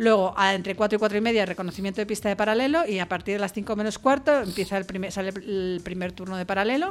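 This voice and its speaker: Delivered at a very fast pace with hardly any pauses, the speech has ordinary pitch variation. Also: woman, medium pitch for a woman. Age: 50s. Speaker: foundation vice-president. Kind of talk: radio interview. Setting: radio studio.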